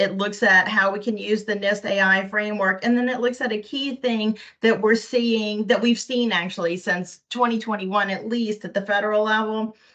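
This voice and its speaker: Bright and sharp in tone, a woman with fairly high pitch speaks in a monotone, flat intonation with hardly any pauses. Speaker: state privacy officer. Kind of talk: board meeting presentation. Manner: fast; rapid fire.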